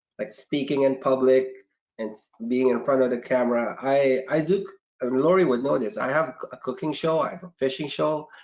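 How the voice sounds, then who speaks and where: Speaking with a non-native accent, a man keeps a moderate pace at medium pitch with ordinary pitch variation. His loudness swings widely. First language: not English. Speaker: marketing manager. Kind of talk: casual chat.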